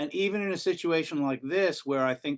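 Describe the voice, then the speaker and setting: A man with an unremarkable speaking voice talks at a moderate pace with ordinary pitch variation over a quiet background. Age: 60s. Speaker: rock singer. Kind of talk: casual interview.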